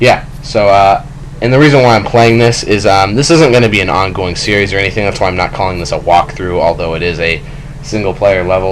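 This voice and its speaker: A man with a fairly low voice speaks with ordinary pitch variation. Audible room echo and noticeable background noise are present. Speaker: gaming youtuber. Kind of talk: let's play commentary. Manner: halting, many fillers; casual.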